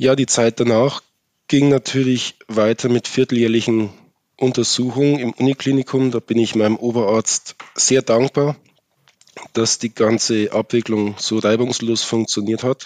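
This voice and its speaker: In a dry, close sound with no echo, a man with a medium pitch speaks fairly slowly in a monotone, flat intonation. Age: 30s. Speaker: master electrician with a rare eye disease. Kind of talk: interview about personal experience.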